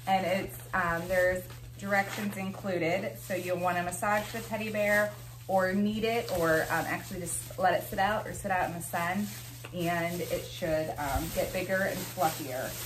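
Light background noise can be heard. The speech moves at a moderate pace. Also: woman, fairly low pitch for a woman. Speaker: product reviewer. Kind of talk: casual product review. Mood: cheerful, pleasantly surprised. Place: home room. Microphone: camera far.

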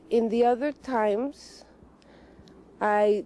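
Dry with no echo, a woman's voice carries a dark, mellow tone and fairly even intonation. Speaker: interviewee. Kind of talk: interview answer. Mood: calm, reflective. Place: open country.

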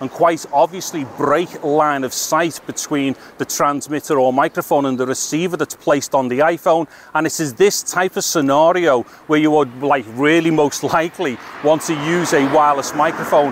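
A man speaks at a moderate pace with fairly even intonation, over light background noise, and the sound is dry with no echo. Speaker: tech reviewer. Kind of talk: casual vlog tutorial. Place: street. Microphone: handheld.

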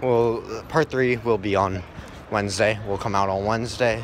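Through noticeable background noise, a man talks with fairly even intonation. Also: dry sound with no echo. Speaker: gaming channel vlogger. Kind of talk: casual vlog chat. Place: street. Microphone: phone near.

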